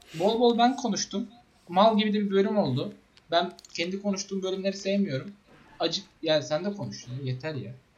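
With noticeable background noise behind him, a man speaks in a high pitch with lively intonation. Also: moderate pace. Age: 20s. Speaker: podcast co-host, web developer. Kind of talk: casual chat. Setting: online voice call.

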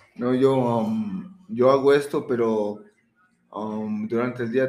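At a very slow pace, a man with a medium pitch talks with fairly even intonation. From Florida, US. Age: 30s. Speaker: rapper. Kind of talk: casual chat. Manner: halting.

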